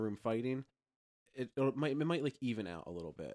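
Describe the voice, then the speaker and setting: A man with an American accent talks at a very fast pace and a medium pitch, with lively intonation. The sound is dry and close, with no echo. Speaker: podcast host. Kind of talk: casual chat.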